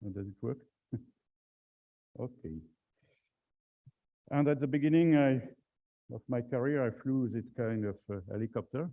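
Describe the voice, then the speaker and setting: A man speaks with a French accent at a moderate pace and medium pitch. His pitch variation is ordinary, and he makes long, frequent pauses. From France. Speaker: aviation safety speaker, former navy helicopter pilot. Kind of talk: conference presentation.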